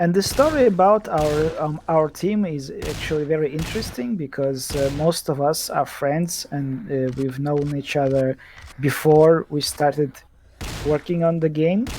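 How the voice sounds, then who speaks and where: A non-native accent at a fairly slow pace, over noticeable background noise. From Eastern Europe. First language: not English. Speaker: game developer. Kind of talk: casual chat. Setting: live stream. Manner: halting.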